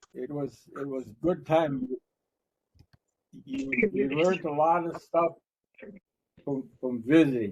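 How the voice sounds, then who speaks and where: A man at a very slow pace, with ordinary pitch variation and long, frequent pauses. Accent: American. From Red Cliff reservation, northern Wisconsin. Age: 70s. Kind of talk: storytelling talk. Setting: library talk with audience. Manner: casual, joking.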